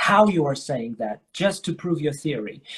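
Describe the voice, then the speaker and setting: This man talks at a fairly slow pace in a somewhat breathy voice that sits fairly high in pitch. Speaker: English teacher. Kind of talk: casual chat. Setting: live stream.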